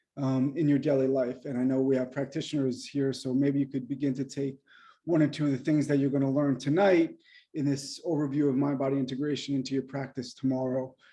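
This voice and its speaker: A man talks at a fairly quick pace, fairly high in pitch for a man, with a dark, mellow tone. His intonation is monotone and flat, and the background is quiet. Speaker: acupuncturist and mind-body teacher. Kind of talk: lecture. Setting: video call. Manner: fast.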